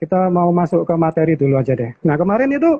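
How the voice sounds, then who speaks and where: A moderate pace with a strong Surabaya accent. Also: man. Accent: strong East Javanese (Surabaya). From Indonesia, Surabaya (East Java). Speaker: channel host of investing live stream. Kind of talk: casual live-stream chat.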